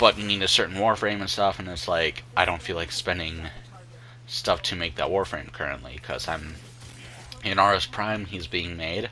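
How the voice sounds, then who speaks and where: A man speaks at a moderate pace in a very deep, low voice with ordinary pitch variation, and there is noticeable background noise. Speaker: gaming youtuber. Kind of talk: gameplay commentary. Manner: halting, many fillers.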